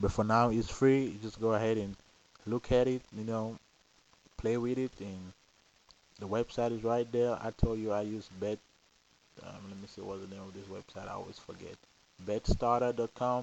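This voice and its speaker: A man with a non-native accent speaks at a moderate pace and a medium pitch, his intonation monotone and flat. Long, frequent pauses break his speech, and his loudness swings widely. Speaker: lottery system vlogger. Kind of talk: casual monologue. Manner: hesitant, repeats words.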